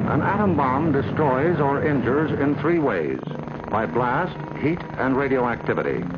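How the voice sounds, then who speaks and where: A man with an American accent talks at a fairly slow pace with fairly high pitch. Pitch variation is ordinary, loudness is very even, and background noise is noticeable. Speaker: news broadcaster. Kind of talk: government documentary narration.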